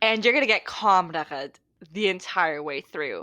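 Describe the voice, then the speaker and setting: A woman at medium pitch talks loudly at a moderate pace, her bright, sharp tone swinging very widely in pitch over a silent background in a very clean recording. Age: 20s. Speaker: podcast co-host. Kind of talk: casual chat.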